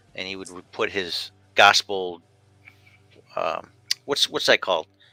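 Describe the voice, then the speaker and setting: A man with an American accent speaks at a fairly slow pace with big swings in loudness, in a dry, close sound with no echo and music in the background. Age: 50s. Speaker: talk show host. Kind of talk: casual chat. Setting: video call.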